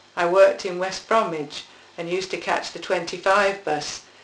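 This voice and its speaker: A woman with a fairly low voice and ordinary pitch variation speaks at a moderate pace while noticeable background noise runs underneath. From Birmingham, England (Kingstanding). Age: 60s. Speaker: oral history interviewee. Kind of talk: oral history reminiscence, partly read. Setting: interview with husband asking questions.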